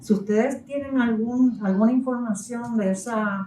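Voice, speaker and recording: A woman talks at a fairly slow pace with ordinary pitch variation. Her dark, mellow tone sits at a fairly high pitch and sounds somewhat breathy. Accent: Puerto Rican. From Puerto Rico. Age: 70s. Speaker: novelist. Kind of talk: book presentation talk.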